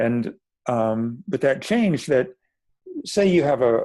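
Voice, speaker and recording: In a quiet background, a man speaks at a medium pitch with a dark, mellow tone. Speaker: constellation facilitator. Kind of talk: interview. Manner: halting.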